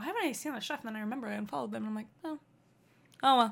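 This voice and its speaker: This woman's voice is raised and projected, with very wide swings in pitch. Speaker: podcast co-host. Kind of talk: casual chat.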